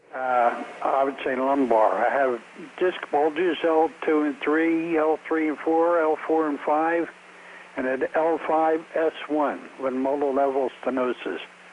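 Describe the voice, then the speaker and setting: Against noticeable background noise, a man speaks at a fairly slow pace. His pitch is fairly high and his intonation fairly even. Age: 80s+. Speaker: caller. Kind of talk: phone-in question.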